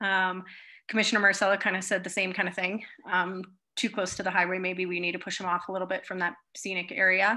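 Over a quiet background, a woman talks at a fairly quick pace. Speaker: presenter. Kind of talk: meeting presentation. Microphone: video call.

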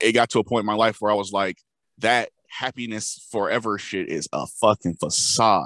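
A man's fairly low voice with fairly even intonation, dry and close with no echo, over a quiet background. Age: 20s. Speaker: podcast co-host. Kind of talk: casual chat.

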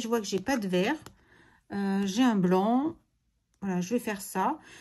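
A woman's dark, mellow, somewhat breathy tone, with ordinary pitch variation at a moderate pace. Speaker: crafts video creator. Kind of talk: crafting tutorial. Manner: animated.

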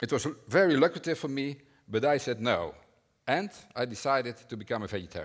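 A man's fairly quick speech comes through over a quiet background. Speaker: conference speaker. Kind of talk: prepared talk. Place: hall.

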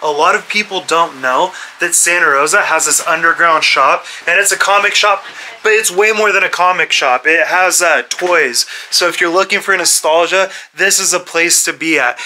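Against light background noise, a man with a high pitch talks at a moderate pace with ordinary pitch variation. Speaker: local vlogger host. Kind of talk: casual vlog chat. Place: shop. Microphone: phone near.

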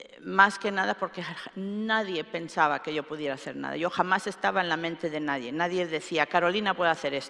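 A woman uses a normal speaking voice, fairly low in pitch, with ordinary pitch variation and big swings in loudness. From Spain, Alicante; Spain. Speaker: computer scientist; keynote speaker. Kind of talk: keynote lecture. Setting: stage with audience. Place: hall.

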